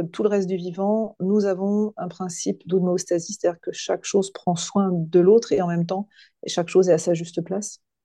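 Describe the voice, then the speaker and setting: A woman talks at a moderate pace against a quiet background. Her voice is medium in pitch, dark and mellow in tone, with fairly even intonation. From western France, near Nantes. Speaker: coach and hypnotherapist. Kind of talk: podcast interview. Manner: halting, many hesitations.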